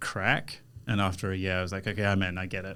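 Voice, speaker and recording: Audible room echo surrounds a man with a very deep, low voice who talks at a fairly quick pace. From Malawi, schooled in South Africa. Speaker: real estate sales executive. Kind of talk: podcast interview. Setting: studio. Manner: animated storytelling.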